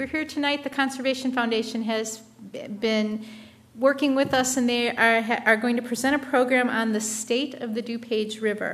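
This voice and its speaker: A high-pitched woman's voice at a moderate pace, monotone and flat in intonation. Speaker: municipal staff engineer. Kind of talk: speaker introduction. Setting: meeting room with live audience. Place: meeting room. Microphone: podium.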